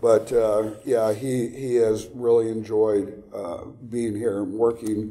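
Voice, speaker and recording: In a Texan accent, a man speaks at a very slow pace and medium pitch. His intonation is monotone and flat, with audible room echo around him. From Texas. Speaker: actor and military reenactor. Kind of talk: casual chat. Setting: interview. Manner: halting.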